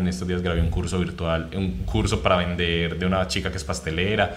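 Noticeable background noise and audible room echo surround a man with a very deep, low voice. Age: 20s. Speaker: content creator. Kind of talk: casual interview chat.

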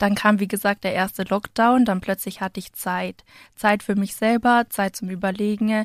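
A woman speaks at a moderate pace with monotone, flat intonation. The sound is dry and close with no echo, on a very clean recording with a silent background. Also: medium pitch for a woman. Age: 20s. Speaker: civil engineer and plant delivery founder. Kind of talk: interview. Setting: studio.

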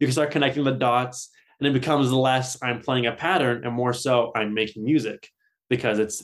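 A man with a medium pitch keeps fairly even intonation at a moderate pace. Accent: Californian. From Southern California. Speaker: metal guitarist. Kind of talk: casual interview.

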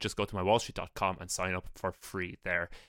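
Talking at a very fast pace, a man with an Irish accent has a fairly low pitch and a bright, sharp tone. The sound is dry and close with no echo, on a very clean recording with a silent background. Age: 30s. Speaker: podcast host, investment analyst. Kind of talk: casual chat.

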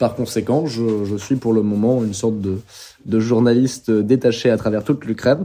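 A man speaks at a moderate pace with medium pitch. His intonation is fairly even. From France, Bordeaux. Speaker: war correspondent. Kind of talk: interview. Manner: halting.

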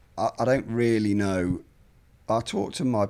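This man speaks with an English Midlands accent. His pitch variation is ordinary. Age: 40s. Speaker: journalist and author. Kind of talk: interview conversation.

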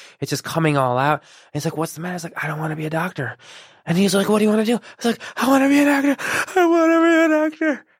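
On a very clean recording with a silent background, a man talks at a very fast pace. His high pitch swings very widely. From Chicago suburbs, US (born in Iran). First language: Persian. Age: 30s. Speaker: actor. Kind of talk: casual interview. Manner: halting, many repeated words.

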